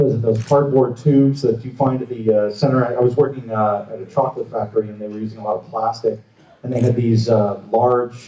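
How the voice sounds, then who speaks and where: This man mumbles at a very fast pace, his loudness swinging widely while his intonation stays fairly even. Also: medium pitch for a man. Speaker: prop maker. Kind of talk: convention panel talk. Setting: stage with audience. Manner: mumbling.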